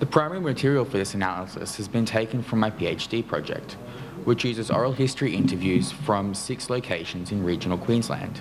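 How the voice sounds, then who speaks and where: With audible room echo and noticeable background noise, a man speaks very fast at a medium pitch with lively intonation. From Australia. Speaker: academic researcher, PhD candidate. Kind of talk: conference paper presentation. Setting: conference panel with audience.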